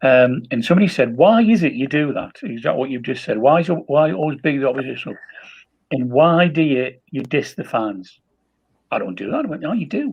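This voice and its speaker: A man speaks at a fairly high pitch and a fairly quick pace. His pitch swings very widely. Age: 70s. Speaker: football fan pundit. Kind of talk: casual chat.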